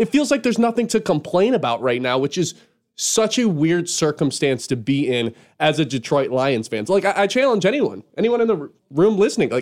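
A fairly quick delivery in an American accent with very wide pitch swings. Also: man. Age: 20s. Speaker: sports radio host. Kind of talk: sports radio talk show. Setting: studio.

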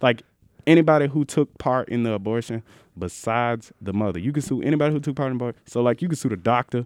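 At a very fast pace, a man speaks in a medium pitch with ordinary pitch variation, the sound dry and close with no echo. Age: young. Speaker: college student podcast co-host. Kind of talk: casual chat. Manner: animated.

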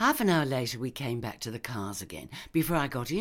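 The voice heard here is a natural reading voice.

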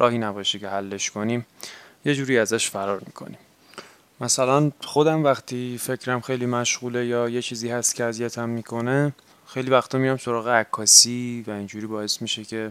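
Fairly quick and fairly even in intonation, a man speaks in a normal speaking voice at medium pitch. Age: 20s. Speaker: podcast host and graduate student. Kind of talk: personal monologue.

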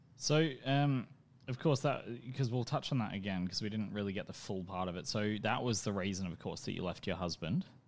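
This man speaks fairly quickly with an Australian accent and lively intonation. His pitch sits fairly low, and the recording is very clean with a silent background. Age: 20s. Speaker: podcast host. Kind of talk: casual chat.

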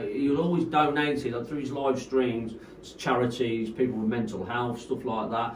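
Amid noticeable background noise and audible room echo, a man with a medium pitch talks at a fairly quick pace with fairly even intonation. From Coventry, England. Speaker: rave promoter. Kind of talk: casual chat.

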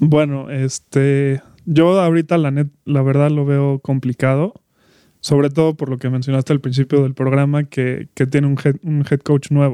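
In a dry, close sound with no echo, a man speaks at a fairly high pitch and fairly slow pace, his intonation fairly even. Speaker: sports podcast co-host. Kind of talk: casual chat.

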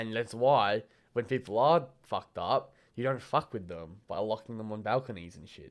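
The loudness swings a lot while the pitch varies in an ordinary way. The recording is very clean, with a silent background. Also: man, medium pitch for a man. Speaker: podcast co-host. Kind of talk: casual chat. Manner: fast.

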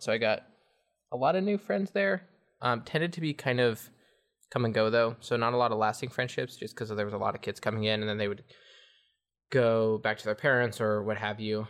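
A man with an American accent, medium pitch and ordinary pitch variation, at a fairly quick pace with long, frequent pauses, against a quiet background. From Northern California. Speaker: interviewee on family heritage. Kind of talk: interview. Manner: hesitant, many fillers.

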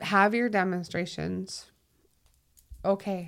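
Animated in tone and with a slight Minnesotan accent, the speaker goes at a fairly slow pace on a very clean recording with a silent background. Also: woman. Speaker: 911 dispatcher. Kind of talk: casual conversation interview. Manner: animated, laughs often.

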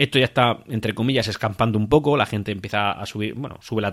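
With ordinary pitch variation and a fairly low pitch, a man talks in an ordinary speaking voice, in a very clean recording with a silent background. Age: 30s. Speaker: football podcast host. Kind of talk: solo podcast commentary.

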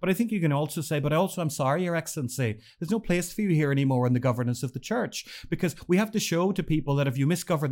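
A man talks very fast in an Irish accent, with ordinary pitch variation. The recording is very clean, with a silent background. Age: 40s. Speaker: newspaper editor. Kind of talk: casual chat.

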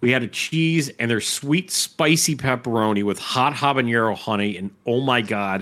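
A man talks in a normal speaking voice at a medium pitch with lively intonation. The recording is very clean with a silent background. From Chicago.

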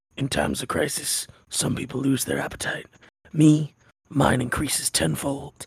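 A man puts on a gravelly character voice at medium pitch. He goes at a moderate pace.

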